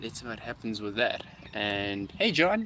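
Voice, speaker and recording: Speaking at a moderate pace with a South African accent, a man has a fairly low pitch and a bright, sharp tone. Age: 20s. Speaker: musician. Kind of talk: livestream chat. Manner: casual, filler-heavy.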